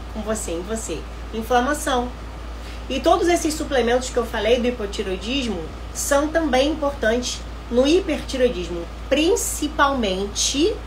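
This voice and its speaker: Noticeable background noise and audible room echo surround a woman who talks at a fairly slow pace. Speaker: nutritionist. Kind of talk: live online class.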